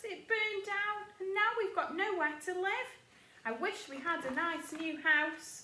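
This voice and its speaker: A woman puts on a squeaky character voice at an extremely high pitch, speaking at a fairly slow pace with an audible echo. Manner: distressed, lamenting.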